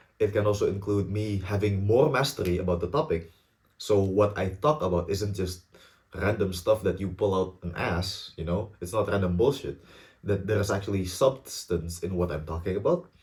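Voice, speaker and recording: A man with an Indonesian accent speaks at a moderate pace in a fairly low, somewhat breathy voice with ordinary pitch variation. The recording is very clean with a silent background. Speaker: student YouTuber. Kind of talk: casual vlog talk to camera. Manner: halting, stumbles and repeats words.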